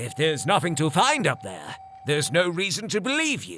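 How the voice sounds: Putting on a cartoonish character voice, a man speaks at a moderate pace with a fairly high pitch, very wide pitch swings and a fairly bright tone.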